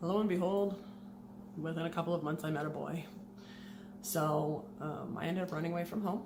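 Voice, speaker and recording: A woman with a fairly low voice talks quietly at a fairly quick pace, her intonation fairly even, with long, frequent pauses, noticeable background noise and audible room echo. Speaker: former Jehovah's Witness vlogger. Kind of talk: personal testimony. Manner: fast.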